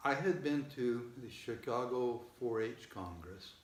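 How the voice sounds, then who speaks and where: A man speaks in a somewhat breathy voice. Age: 70s. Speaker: father of seven. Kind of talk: interview answer.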